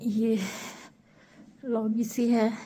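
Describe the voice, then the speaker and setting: A woman's somewhat breathy, dark, mellow voice at a fairly high pitch, with audible room echo. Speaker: travel vlogger. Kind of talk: travel vlog narration.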